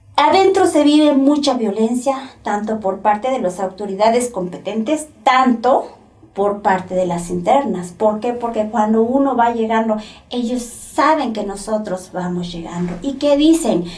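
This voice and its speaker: A woman speaks at a fairly slow pace with a Mexican accent, her pitch fairly high and her intonation lively. There is audible room echo and noticeable background noise. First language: Nahuatl (speaking Spanish). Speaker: former prisoner, poet and translator. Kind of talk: testimony. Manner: halting, with self-corrections.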